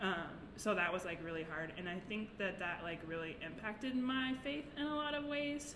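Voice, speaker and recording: A woman with an American accent at a moderate pace, her pitch swinging very widely, hardly any pauses, audible room echo and noticeable background noise. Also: medium pitch for a woman. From Nebraska. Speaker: ceramic artist and youth mentor. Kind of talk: casual chat.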